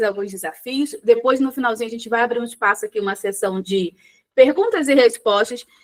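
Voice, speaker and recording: A woman's high voice carries ordinary pitch variation as she talks fairly quickly. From Rio de Janeiro, Brazil. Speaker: psychologist. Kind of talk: live online workshop. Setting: live stream with chat. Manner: conversational, informal.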